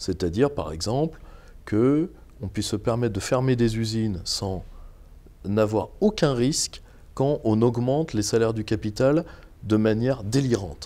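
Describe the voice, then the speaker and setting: A man's dark, mellow tone with lively intonation, a fairly slow pace and long, frequent pauses. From Normandy, France. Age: 30s. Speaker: political activist and teacher; interview guest. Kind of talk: interview. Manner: halting. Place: home room. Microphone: lapel.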